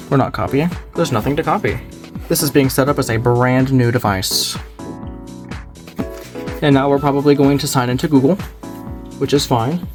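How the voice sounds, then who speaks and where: Fairly high-pitched male speech with ordinary pitch variation, long, frequent pauses and music in the background. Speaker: tech video uploader. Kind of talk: casual unboxing talk to camera.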